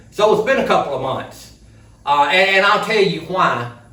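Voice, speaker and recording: A man with an Alabama accent speaks at a moderate pace, with audible room echo and noticeable background noise. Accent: Southern US (Alabama). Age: 60s. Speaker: vlogger. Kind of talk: casual vlog talk. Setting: outdoor building.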